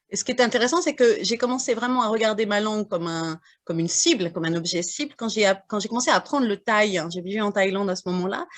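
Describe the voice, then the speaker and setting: A fairly high-pitched woman's voice, very fast and with lively intonation. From northern France, Burgundy (Morvan). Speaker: French as a foreign language teacher, audience member. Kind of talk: audience question and testimony. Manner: halting, many hesitations.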